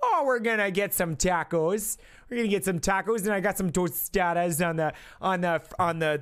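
A woman puts on a raspy character voice with a Midwestern accent as part of the act. She keeps a medium pitch and a moderate pace. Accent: exaggerated Midwestern. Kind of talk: casual. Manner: casual, jokey.

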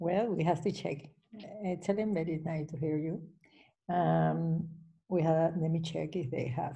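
With a Spanish accent, a woman speaks in a dark, mellow, somewhat breathy voice at a fairly low pitch, with fairly even intonation, long, frequent pauses and a quiet background. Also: moderate pace. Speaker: webinar moderator. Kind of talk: event introduction and Q&A moderation. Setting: video call. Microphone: video call.

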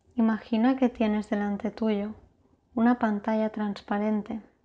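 A woman speaks at a fairly high pitch and a fairly slow pace, in a soothing, calm tone that is dark, mellow and somewhat breathy. Her intonation stays monotone and flat. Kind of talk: guided meditation (yoga nidra). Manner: slow, soothing, calm; soft-spoken, gentle, with long pauses.

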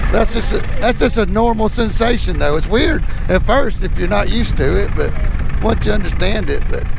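A man talks at a fairly quick pace with very even loudness. The sound is dry with no echo, over noticeable background noise. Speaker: paramotor pilot instructor. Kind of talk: casual narration to passenger. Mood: warm, reassuring.

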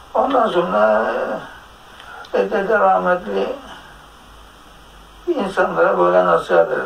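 Against noticeable background noise, a man talks at a very slow pace with long, frequent pauses. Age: 80s+. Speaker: teacher. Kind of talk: interview answer.

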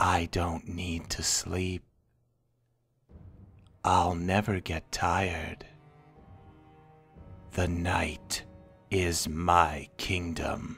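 A man uses a put-on character voice, raspy and very deep, with monotone, flat intonation. He speaks at a very slow pace with long, frequent pauses while faint music plays behind him. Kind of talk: ASMR roleplay. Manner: taunting.

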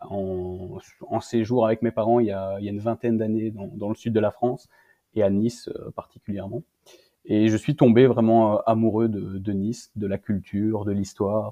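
Here is an ordinary speaking voice from a man, fairly low in pitch and at a moderate pace. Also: fairly even intonation. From Belgium. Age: 20s. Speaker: author. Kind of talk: interview.

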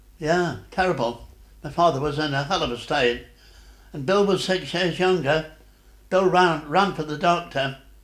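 A man at a moderate pace with ordinary pitch variation, audible room echo and a quiet background. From Derbyshire, England. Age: 80s+. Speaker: war veteran. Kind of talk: interview answer. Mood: sad, reflective memory. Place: home room.

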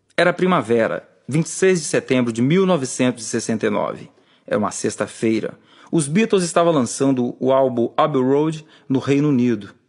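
At a fairly slow pace, a man uses a normal speaking voice with fairly high pitch and lively intonation. His loudness stays very even against a quiet background. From Brazil, rural Espírito Santo. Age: 40s. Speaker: author and musician narrating his own book; audiobook narrator. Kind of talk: audiobook reading.

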